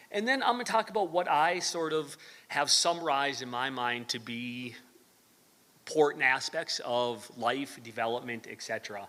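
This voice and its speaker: A man with a fairly high pitch and a bright, sharp tone speaks with lively intonation. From US Midwest, northern Wisconsin. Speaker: university professor. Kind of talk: lecture. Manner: hesitant, many fillers.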